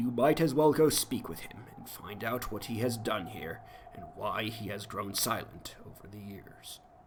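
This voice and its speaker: Using a raspy, put-on character voice, a man speaks at a moderate pace in a medium pitch with ordinary pitch variation and big swings in loudness. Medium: game stream. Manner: blunt, formal.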